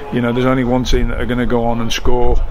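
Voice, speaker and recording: A man talks while noticeable background noise carries on. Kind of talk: interview answer. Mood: frustrated, disappointed. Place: stadium. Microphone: phone near.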